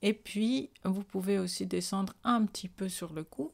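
Behind the voice, the background is quiet. The delivery is very slow, with ordinary pitch variation. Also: woman. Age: 40s. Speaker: beauty vlogger. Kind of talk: tutorial. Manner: casual. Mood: calm, pleased.

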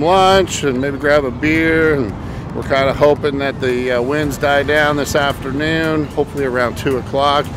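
A man speaks at a moderate pace with fairly even intonation, recorded dry with no echo but with noticeable background noise. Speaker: fishing vlogger. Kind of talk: casual vlog chat. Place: beach. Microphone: phone near.

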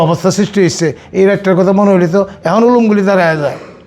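There is noticeable background noise behind this speaker. He is a man with a high-pitched voice. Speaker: war veteran. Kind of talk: testimony.

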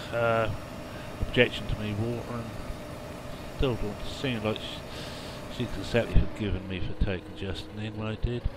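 Over noticeable background noise, a man with an English accent talks at a moderate pace. His pitch is medium and his intonation fairly even. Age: 60s. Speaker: gaming video creator. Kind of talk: let's play commentary. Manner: halting.

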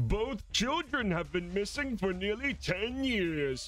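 This man uses a put-on character voice pitched high and speaks at a fairly slow pace. Clear background noise runs underneath. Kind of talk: news anchor delivery. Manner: exaggerated, cartoonish.

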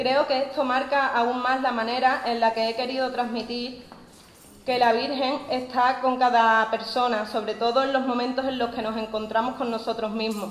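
A woman's high-pitched voice at a moderate pace, flat and monotone, with audible room echo and light background noise. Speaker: poster artist. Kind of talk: explanatory talk; formal speech. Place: church. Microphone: podium.

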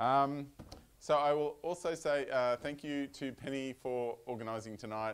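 Australian-accented speech from a man. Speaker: software consultant giving a talk. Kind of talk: technical talk with live demo. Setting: meetup venue with live audience. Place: meeting room.

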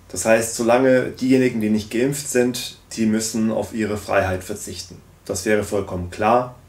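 With audible room echo, a man talks at a moderate pace. His pitch is medium and his intonation fairly even. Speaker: political commentary YouTuber. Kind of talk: video commentary. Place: home room.

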